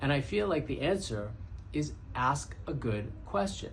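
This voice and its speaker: With audible room echo, a man talks in lively intonation. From Brooklyn, New York. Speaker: podcast host, entrepreneur. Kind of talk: casual monologue.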